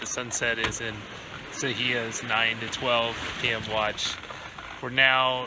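Against loud background noise, a man talks at a fairly slow pace in a dry sound with no echo. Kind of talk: casual vlog chat. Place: boat. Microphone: phone near.

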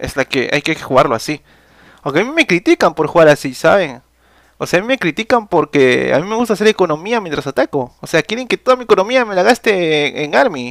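High male pitch, swinging very widely up and down. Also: fairly quick pace, quiet background, dry sound with no echo. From Peru. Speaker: gaming streamer and tournament caster; gaming streamer. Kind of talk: live game commentary. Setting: live stream. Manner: animated.

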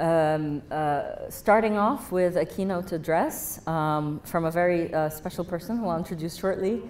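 A woman in a normal speaking voice, fairly low in pitch, at a moderate pace with fairly even intonation, over light background noise. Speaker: event host. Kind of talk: opening remarks speech. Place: hall. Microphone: handheld.

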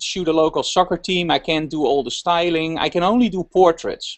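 With a Dutch accent, a man speaks at a moderate pace in a high pitch over a quiet background. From Netherlands. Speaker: fashion photographer; guest. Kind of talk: casual interview. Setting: video call. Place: home room. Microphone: video call.

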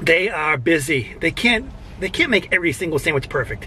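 A raised, projected voice comes through over light background noise. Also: man, dry sound with no echo. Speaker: food reviewer. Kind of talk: casual vlog chat. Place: car. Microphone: lapel.

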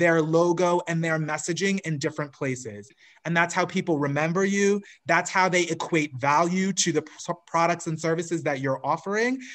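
A man with a high voice speaks at a moderate pace with ordinary pitch variation against a quiet background. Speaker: marketing coach guest. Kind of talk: interview answer. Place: home room. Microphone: video call.

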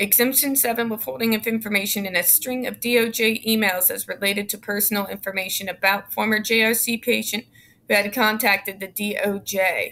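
A woman speaks at a moderate pace with hardly any pauses, a fairly high pitch, and fairly even intonation. Her tone is bright and sharp, with light background noise. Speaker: YouTube commentator. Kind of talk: reading aloud court documents with commentary; reading aloud a legal text with commentary. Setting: home, recording alone. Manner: informal, sarcastic. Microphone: webcam.

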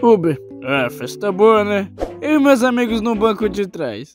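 The voice moves at a fairly slow pace while music plays in the background. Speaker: meme dubber. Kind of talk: comic meme narration and dubbing.

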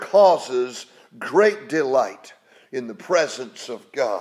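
A man with an American accent speaks at a very slow pace against a quiet background. His pitch swings very widely, and his loudness shifts a lot. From West Virginia. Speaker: preacher. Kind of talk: sermon. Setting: home. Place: home room.

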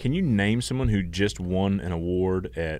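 Very deep, low male voice with a Southern US accent, fairly slow pace, lively intonation, dry sound with no echo. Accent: Southern US (Georgia). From US South, Georgia. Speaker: podcast co-host. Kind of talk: casual chat. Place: studio. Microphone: studio mic.

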